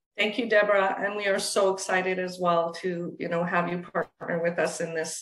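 At a moderate pace, a woman talks in a fairly low, monotone voice with flat intonation, and audible room echo surrounds her. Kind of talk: video call remarks. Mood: warm, grateful. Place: home room. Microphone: video call.

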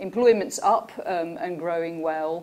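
Over light background noise, a woman with a plain, everyday voice speaks at a fairly low pitch with ordinary pitch variation. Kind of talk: conference presentation.

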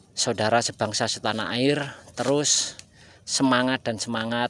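Using a plain, everyday voice, this man holds a medium pitch and fairly even intonation. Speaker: agarwood farmer. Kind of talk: vlog tutorial.

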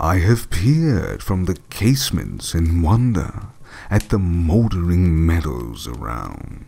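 This man's pitch is very deep and low, with very wide swings. He speaks at a very slow pace. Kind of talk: poetry reading.

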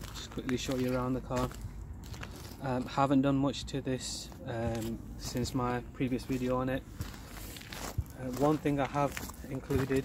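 A man with flat, monotone intonation at a moderate pace, long and frequent pauses, a dry sound with no echo, and noticeable background noise. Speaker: RC hobby vlogger. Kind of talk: casual vlog chat. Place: street. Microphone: phone near.

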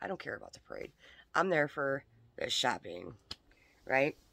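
Over a quiet background, a woman talks at a very fast pace with ordinary pitch variation, the sound dry with no echo. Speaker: crafter vlogger. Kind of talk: casual vlog chat. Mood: animated, mildly exasperated. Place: home room. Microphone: phone near.

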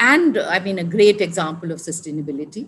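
A woman speaks at a fairly slow pace with ordinary pitch variation. Her voice is somewhat breathy. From India. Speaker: senior civil servant and development advisor; podcast guest. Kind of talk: interview conversation. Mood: calm, reflective. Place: home room. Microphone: video call.

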